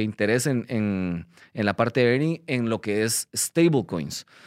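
A man's medium-pitched voice with lively intonation, dry and close with no echo, in a very clean recording with a silent background. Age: 30s. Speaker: crypto company CEO and podcast host. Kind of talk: casual explainer monologue. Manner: hesitant, many fillers.

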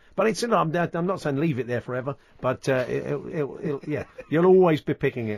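The speech comes in a British accent. The pace is fairly quick. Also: man. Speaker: radio host. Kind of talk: casual chat. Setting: studio.

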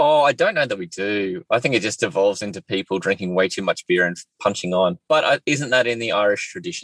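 A man with an Australian accent and a medium pitch talks fairly quickly with hardly any pauses. His pitch swings very widely, and the sound is dry and close, with no echo. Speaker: podcast host. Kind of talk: casual chat. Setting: in a car.

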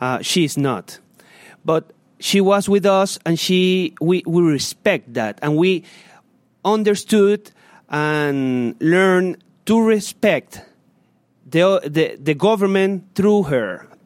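Very slowly and with long, frequent pauses, a man with a Spanish accent speaks in a high pitch with ordinary pitch variation, the sound dry and close with no echo on a very clean recording with a silent background. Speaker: human rights activist. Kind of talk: public lecture; Q&A answer. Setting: stage with audience. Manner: halting.

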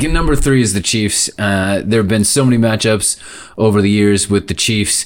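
An unremarkable speaking voice belongs to this man, fairly low in pitch, with fairly even intonation and a moderate pace. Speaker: podcast host, football fan. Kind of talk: casual sports talk.

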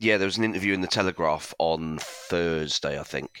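Bright and sharp in tone, a man with a very deep, low pitch speaks at a moderate pace with lively intonation and vocal fry. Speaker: football fan site owner, panel pundit. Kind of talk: casual chat.

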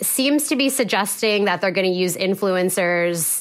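A woman speaks in an ordinary speaking voice at a medium pitch. Her pace is moderate and her intonation lively. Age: 30s. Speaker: journalist. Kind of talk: casual chat.

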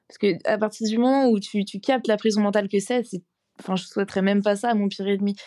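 On a very clean recording with a silent background, a woman of medium pitch speaks at a very fast pace in a monotone, flat intonation with a dark, mellow tone and big swings in loudness. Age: 20s. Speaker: former law student recovering from anorexia. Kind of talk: casual chat.

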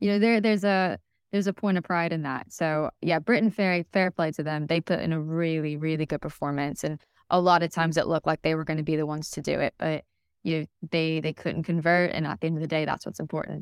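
Delivered at a very fast pace with fairly even intonation, the speech has a dry, close sound with no echo on a very clean recording with a silent background. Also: woman, very deep, low pitch for a woman. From United States. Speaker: sports reporter. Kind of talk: casual interview chat.

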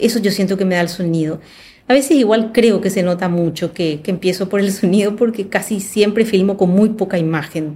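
At a fairly quick pace, a woman speaks in a medium pitch with a dark, mellow tone that is somewhat breathy. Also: ordinary pitch variation. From Paraguay. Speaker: film director. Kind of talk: casual chat.

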